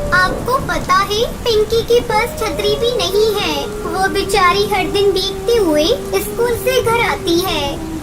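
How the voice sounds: A cartoonish character voice at a fairly slow pace, over loud music in the background. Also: woman, extremely high pitch for a woman.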